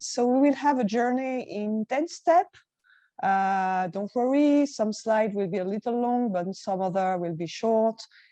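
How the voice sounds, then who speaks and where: A woman's fairly high voice with a dark, mellow tone, lively intonation, a strong French accent and a fairly slow pace. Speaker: conference presenter. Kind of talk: presentation with slides.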